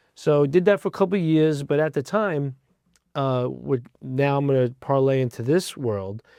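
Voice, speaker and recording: Speaking with a New Jersey accent, a man with a dark, mellow tone uses lively intonation at a moderate pace over a quiet background. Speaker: fire rescue division chief. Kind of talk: interview. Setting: studio.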